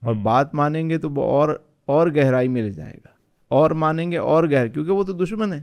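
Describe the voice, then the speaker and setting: An ordinary speaking voice belongs to this man, whose pitch sits fairly high and varies in an ordinary way. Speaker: Islamic scholar. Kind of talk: podcast interview answer.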